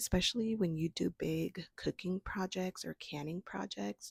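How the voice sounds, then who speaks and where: Fairly low-pitched and somewhat breathy, a woman speaks at a moderate pace in a dry, close sound with no echo on a very clean recording with a silent background. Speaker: homesteading vlogger. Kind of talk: casual vlog talk.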